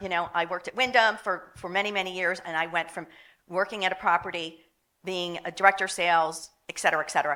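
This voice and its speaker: A woman's medium-pitched voice in a Philadelphia accent, bright and sharp in tone, at a fairly quick pace with fairly even intonation. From Philadelphia, US. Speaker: hotel marketing executive. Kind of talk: panel discussion.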